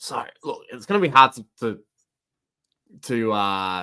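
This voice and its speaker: An Australian-accented man with a bright, sharp tone and very wide pitch swings, on a very clean recording with a silent background. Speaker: football podcast host. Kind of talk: casual chat. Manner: animated; halting, stammering.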